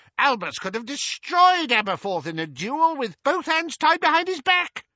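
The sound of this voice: A man puts on a character voice at extremely high pitch with big pitch swings and a bright, sharp tone. He speaks at a moderate pace, and the sound is dry and close with no echo.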